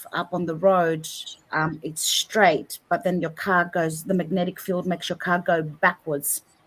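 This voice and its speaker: Her intonation flat and monotone, a woman with an Australian accent speaks in a fairly low voice. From Australia, Greek family. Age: 50s. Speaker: paranormal researcher. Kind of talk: interview. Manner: halting.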